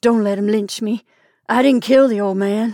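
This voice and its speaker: A woman puts on a hoarse character voice at a fairly high pitch and a moderate pace. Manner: pleading, terrified.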